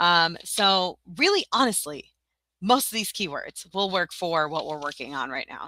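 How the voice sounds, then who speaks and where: With a bright, sharp tone and an animated manner, a woman speaks fairly low in pitch with lively intonation at a moderate pace, in a dry, close sound with no echo on a very clean recording over a silent background. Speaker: teacher-seller and tutorial live streamer. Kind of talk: live stream tutorial. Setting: live stream.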